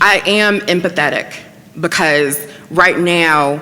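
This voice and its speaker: Over noticeable background noise, a woman talks at a very deep, low pitch. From Newport News, Virginia. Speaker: panel speaker on diversity policy. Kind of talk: panel discussion Q&A.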